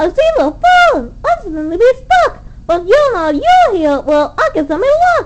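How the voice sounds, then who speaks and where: A squeaky, put-on character voice swings very widely in pitch. Light background noise sits behind it. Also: woman, extremely high pitch for a woman, moderate pace. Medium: read story. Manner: stammering, meek.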